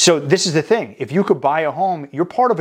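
A man's animated voice at a fairly quick pace, with very wide pitch swings and a quiet background. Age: 30s. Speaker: mortgage broker and podcast host. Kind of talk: solo video podcast monologue.

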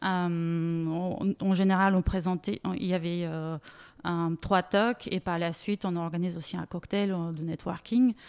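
On a very clean recording with a silent background, a woman speaks at a fairly slow pace and fairly low pitch with fairly even intonation. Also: dry, close sound with no echo. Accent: Bulgarian. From Bulgaria. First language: Bulgarian (speaking French). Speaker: data product manager. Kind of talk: interview. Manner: halting.

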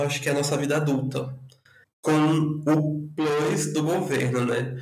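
Audible room echo accompanies speech delivered at a fairly slow pace. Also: man. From northern Brazil (Rondônia and Acre). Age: 20s. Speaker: podcast guest. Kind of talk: casual chat.

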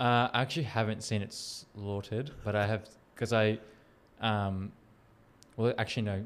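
Speaking at a moderate pace with long, frequent pauses, a man with a fairly low pitch uses a monotone, flat intonation on a very clean recording with a silent background. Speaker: podcast host. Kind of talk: casual interview chat.

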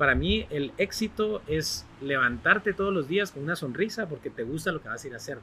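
A man's bright, sharp tone with vocal fry and lively intonation, at a fairly quick pace with hardly any pauses. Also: fairly high pitch for a man. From Guatemala, Barberena, Santa Rosa. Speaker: television personality and author. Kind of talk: podcast interview.

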